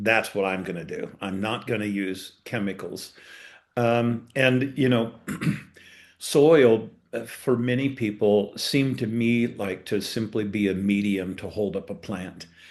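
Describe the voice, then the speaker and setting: Speaking fairly slowly with an American accent, a man uses a normal speaking voice at medium pitch with ordinary pitch variation. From eastern Colorado. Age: 60s. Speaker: farmer. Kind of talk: webinar panel talk.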